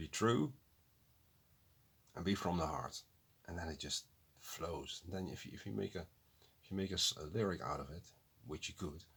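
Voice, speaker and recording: A man with a non-native accent speaks at a moderate pace with long, frequent pauses. His pitch is very deep and low, with lively intonation. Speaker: music reaction youtuber. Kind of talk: casual reaction commentary. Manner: halting, self-correcting.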